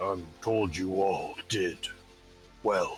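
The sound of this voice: In a booming, put-on character voice, a man talks at a fairly low pitch over clear background noise.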